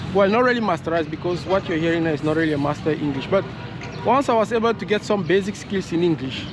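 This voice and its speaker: Over noticeable background noise, a man speaks very fast in a high voice. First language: French. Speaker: vlogger. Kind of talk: casual vlog monologue. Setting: outdoors, walking. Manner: halting, with fillers and repetitions.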